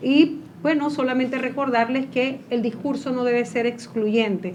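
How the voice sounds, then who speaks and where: A woman with a high voice speaks over noticeable background noise. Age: 60s. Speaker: former legislator. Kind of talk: panel discussion.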